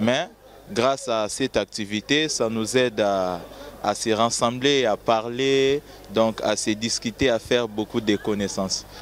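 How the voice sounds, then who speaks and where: A man talks at a fairly slow pace with a medium pitch and ordinary pitch variation. Noticeable background noise runs under his voice. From DR Congo. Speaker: international university student. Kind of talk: interview.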